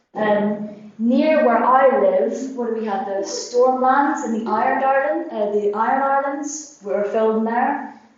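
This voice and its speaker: A woman speaks at a high pitch with ordinary pitch variation and hardly any pauses, amid noticeable background noise and audible room echo. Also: fairly slow pace. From Northern Ireland. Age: 20s. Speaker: exchange student presenter. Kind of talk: student presentation.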